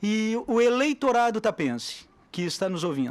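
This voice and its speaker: A man's voice with ordinary pitch variation. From southern Brazil (Tapes, Rio Grande do Sul). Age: 60s. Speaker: mayoral candidate. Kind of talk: radio interview. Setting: radio studio.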